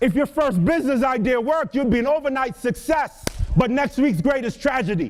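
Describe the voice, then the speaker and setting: A man with an Antiguan accent talks at a fairly quick pace and an extremely high pitch, with lively intonation, an animated tone and very even loudness, over noticeable background noise. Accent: Caribbean, Antiguan. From Antigua and Barbuda. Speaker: motivational speaker. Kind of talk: motivational speech. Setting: stage with audience.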